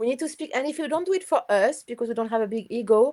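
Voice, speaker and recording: Very fast and lively in intonation, a woman speaks with a non-native accent at a fairly high pitch. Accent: foreign. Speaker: astrologer. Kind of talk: casual interview chat. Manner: enthusiastic.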